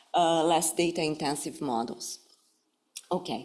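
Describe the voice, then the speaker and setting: With ordinary pitch variation, a woman speaks at a moderate pace in a fairly low pitch. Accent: Brazilian Portuguese. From Brazil. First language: Brazilian Portuguese. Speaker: professor. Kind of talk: lecture. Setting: stage with audience. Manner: formal; halting, many fillers.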